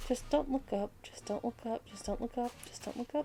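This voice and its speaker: A woman's high-pitched voice with music in the background. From Australia. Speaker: gaming guide youtuber. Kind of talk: gameplay tutorial.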